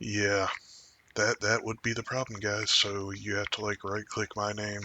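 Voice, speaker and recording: A man speaks quietly at a moderate pace, his pitch fairly low. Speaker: podcast host. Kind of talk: casual chat. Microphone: too quiet without amplification.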